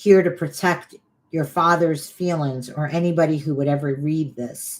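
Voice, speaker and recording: A woman speaks with a very deep, low pitch. Her pace is fairly slow and her intonation fairly even. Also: very clean recording, silent background. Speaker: spiritual healing teacher. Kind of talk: livestream talk on healing. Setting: livestream on Facebook and YouTube.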